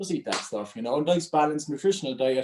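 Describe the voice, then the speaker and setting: Very fast and with an Irish accent, a man speaks with a fairly high pitch and a dark, mellow tone. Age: 30s. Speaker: mental health speaker and coach. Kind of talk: talk to a group.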